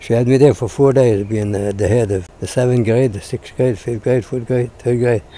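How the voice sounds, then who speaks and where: A man speaks in a dark, mellow tone at a moderate pace. His intonation stays fairly even. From Quebec, Canada. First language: French. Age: 80s+. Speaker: former farmer. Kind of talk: interview answer.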